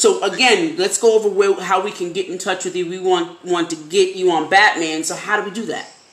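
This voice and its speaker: With noticeable background noise behind her, a woman speaks at a fairly quick pace with hardly any pauses. Her voice is medium in pitch, with ordinary pitch variation and big swings in loudness. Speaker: podcast host. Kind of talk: casual interview.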